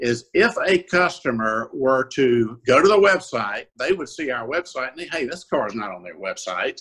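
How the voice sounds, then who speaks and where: A man talks at a moderate pace in a Southern US accent. His pitch swings very widely over a quiet background. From South Carolina (Orangeburg); South Carolina. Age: 60s. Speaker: used car dealer; guest. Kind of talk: interview. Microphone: video call.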